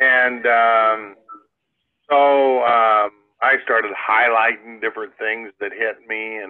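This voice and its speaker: With a Midwestern American accent, a man speaks at a very slow pace and medium pitch with fairly even intonation. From US Midwest, Iowa. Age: 70s. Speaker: inventor and entrepreneur. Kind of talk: interview storytelling. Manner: halting, many fillers.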